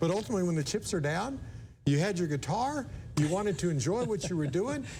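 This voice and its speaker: Pitched high with very wide swings, a man speaks at a very fast pace in a dark, mellow tone, his loudness very even, amid audible room echo. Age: 60s. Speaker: TV station manager hosting interview. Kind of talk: interview.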